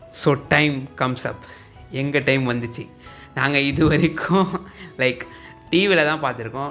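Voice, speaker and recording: Music plays in the background. A man speaks at medium pitch with ordinary pitch variation. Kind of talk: casual talk to camera.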